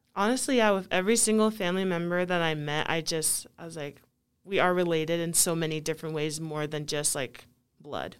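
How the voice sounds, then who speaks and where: This woman has a plain, everyday voice with an American accent and a fairly low pitch. She talks at a fairly quick pace with ordinary pitch variation. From US (Kentucky, then Pocatello, Idaho), Nigerian parents. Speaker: college basketball player. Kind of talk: casual interview.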